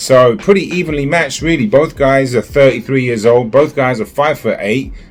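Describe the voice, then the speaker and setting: Noticeable background noise sits behind a man speaking fairly quickly at a medium pitch with ordinary pitch variation. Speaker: boxing commentator youtuber. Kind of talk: solo video commentary. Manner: energetic, hyped up; hesitant with fillers.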